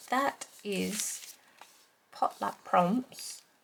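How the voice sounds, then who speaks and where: This woman speaks at a medium pitch. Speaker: crafting YouTuber. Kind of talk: tutorial. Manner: hesitant, many fillers.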